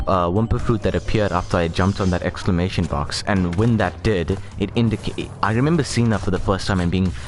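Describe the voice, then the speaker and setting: Music plays behind a man with a very deep, low pitch and ordinary pitch variation. He talks at a fairly quick pace with very even loudness and hardly any pauses. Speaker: video game streamer. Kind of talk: gameplay commentary. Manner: fast; halting.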